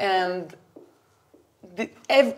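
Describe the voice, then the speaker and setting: A woman speaks in a French accent at a fairly slow pace. Her pitch variation is ordinary. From France. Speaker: adtech company CEO and co-founder. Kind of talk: interview at whiteboard, explaining. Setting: office. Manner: hesitant, many fillers.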